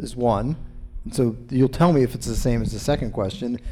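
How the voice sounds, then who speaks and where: A man with an American accent speaks at medium pitch. His tone is dark and mellow. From US East Coast. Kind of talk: audience Q&A. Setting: bookstore event with live audience.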